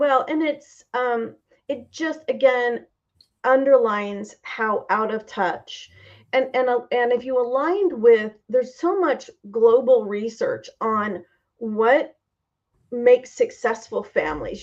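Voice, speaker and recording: With an American accent, the speaker talks at a fairly slow pace with lively intonation. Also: woman. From Indiana, Clinton. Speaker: political candidate and university teacher. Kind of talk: interview conversation.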